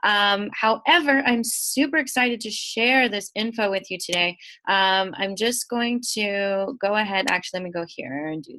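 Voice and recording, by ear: A woman speaks at medium pitch and a moderate pace, with ordinary pitch variation. Her tone is nasal, bright and sharp.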